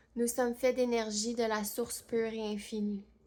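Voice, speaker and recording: At a fairly slow pace, a woman with a fairly high pitch speaks in a monotone, flat intonation. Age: 30s. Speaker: medium, channeler. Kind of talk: channeled spiritual message.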